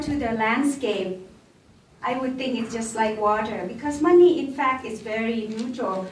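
A woman's fairly high voice in a Thai accent, with ordinary pitch variation, against noticeable background noise. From northern Thailand. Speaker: development bank country director. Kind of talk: panel Q&A talk. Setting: live audience event. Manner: hesitant, filler words.

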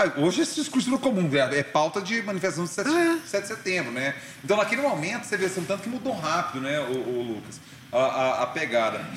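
The speech comes at a very fast pace with very wide pitch swings. Noticeable background noise runs underneath. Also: man, high pitch for a man. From Brazil, Goiânia (Goiás). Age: 40s. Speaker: journalist and radio host. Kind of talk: casual interview chat.

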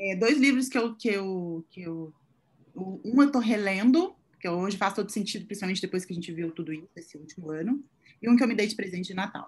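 A woman's somewhat breathy, fairly quick speech with lively intonation and big swings in loudness. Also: medium pitch for a woman. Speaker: image consultant. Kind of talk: casual chat.

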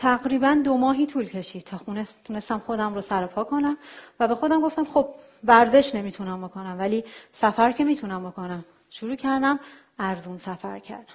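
A woman talks at a fairly quick pace with lively intonation and fairly high pitch, in a normal speaking voice. Her loudness swings widely against a quiet background. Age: 30s. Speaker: software engineer and traveler giving a talk.

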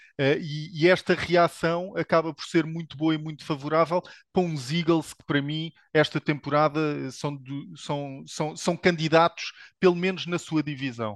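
Over a quiet background with a dry, close sound and no echo, a man with a European Portuguese accent speaks at a fairly slow pace in a fairly high pitch, his intonation fairly even but his loudness swinging widely. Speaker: NFL commentator. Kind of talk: casual sports panel discussion.

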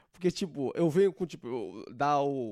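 A man's fairly high, dark and mellow voice, dry and close with no echo. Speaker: podcast host. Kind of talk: casual comedic monologue. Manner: animated.

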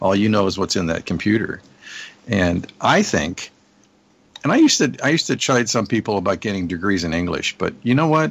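A man with a plain, everyday voice, fairly low in pitch, lively in intonation and fairly quick in pace. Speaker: marketing partner and guest. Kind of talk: casual chat.

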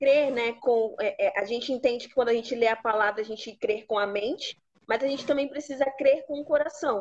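A woman speaks in a high pitch that varies an ordinary amount. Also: fairly quick pace, hardly any pauses. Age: 20s. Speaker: pastor. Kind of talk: teaching talk in a live stream interview.

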